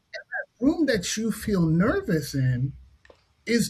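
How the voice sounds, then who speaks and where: Very wide pitch swings mark this man's speech. He talks at a very slow pace with an American accent. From New York City (Harlem). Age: 50s. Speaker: science fiction writer and therapist. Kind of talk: casual discussion. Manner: animated.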